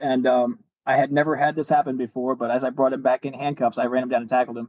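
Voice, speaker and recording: A man speaks at a very fast pace with medium pitch. The sound is dry and close, with no echo. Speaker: retired police officer and car builder. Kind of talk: podcast interview.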